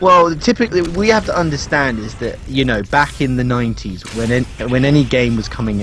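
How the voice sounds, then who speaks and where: Music plays in the background as a man talks at a moderate pace. His pitch is medium, with lively intonation. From UK. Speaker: gaming stream co-host. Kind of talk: casual chat. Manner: halting, many fillers.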